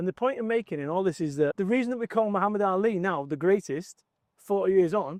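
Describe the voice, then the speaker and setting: In a dry, close sound with no echo, a man with a high pitch talks very fast, his intonation lively. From northern England, Salford. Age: 50s. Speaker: motivational business speaker. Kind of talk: casual chat. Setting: outdoors.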